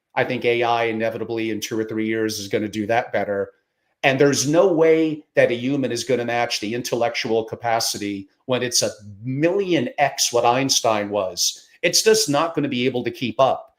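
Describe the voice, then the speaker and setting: On a very clean recording with a silent background, a man speaks at a moderate pace with a medium pitch and ordinary pitch variation. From New York. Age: 60s. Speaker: podcast host, family office founder. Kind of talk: interview conversation. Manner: animated.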